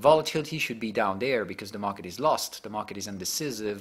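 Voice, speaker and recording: Lively intonation from a man, on a very clean recording over a silent background. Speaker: market analyst. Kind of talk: market briefing. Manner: fast.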